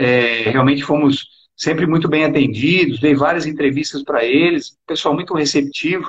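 At a moderate pace, a man with a fairly high voice speaks with fairly even intonation and very even loudness. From Brazil, São Paulo interior (Araraquara). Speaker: retired police colonel, political candidate. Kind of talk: interview.

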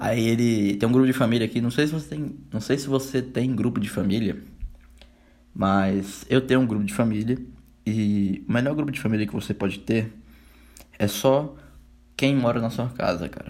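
A man speaks with a Brazilian accent and ordinary pitch variation. He leaves long, frequent pauses. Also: medium pitch for a man, moderate pace. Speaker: podcaster. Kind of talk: solo casual monologue.

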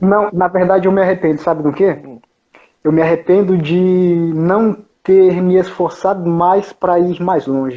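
A man's high-pitched voice at a fairly slow pace. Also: fairly even intonation, very even loudness. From São Paulo, Brazil. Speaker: traveler sharing his journey. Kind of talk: casual interview.

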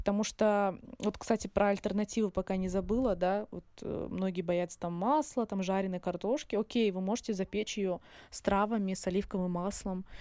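This is a woman with an ordinary speaking voice, medium in pitch and fairly even in intonation, on a very clean recording with a silent background. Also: moderate pace. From Russian North near Surgut, born in Dagestan. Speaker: pharmacist and healthy-eating blogger. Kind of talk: casual interview.

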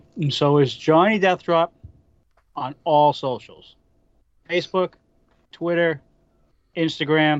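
Speaking very slowly with long, frequent pauses, a man in a Boston accent keeps a fairly high pitch and fairly even intonation. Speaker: wrestling podcast co-host and guest. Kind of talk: casual wrestling preview chat.

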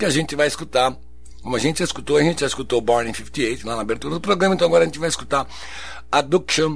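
Vocal fry shows in a man's medium-pitched voice. His intonation is lively. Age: 60s. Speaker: radio host. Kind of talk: radio show presenting. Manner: halting.

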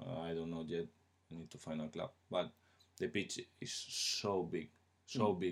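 In a Spanish accent, a man speaks at a fairly slow pace. His pitch variation is ordinary. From Spain. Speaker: footballer. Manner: halting.

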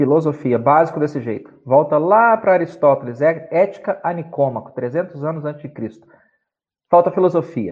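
A man's fairly high voice, an unremarkable speaking voice, with ordinary pitch movement and a moderate pace. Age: 50s. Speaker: doctor and writer. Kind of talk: casual interview on a live stream.

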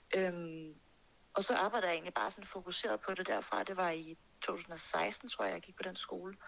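A woman's normal speaking voice, fairly low in pitch with ordinary variation, at a moderate pace. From Denmark, Birkerød near Copenhagen. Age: 20s. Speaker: singer and music producer. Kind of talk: interview.

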